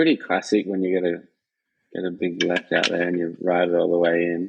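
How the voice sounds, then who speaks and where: An Australian accent from a man, very deep and low in pitch, monotone and flat in intonation, at a fairly quick pace. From Western Australia. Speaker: professional free surfer. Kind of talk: podcast interview answer. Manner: casual, laid-back.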